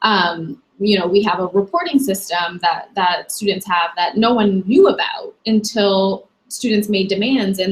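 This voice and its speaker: Here a woman speaks at a fairly high pitch. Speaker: university staff member. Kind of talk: online talk. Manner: frequent fillers (um); loud, passionate.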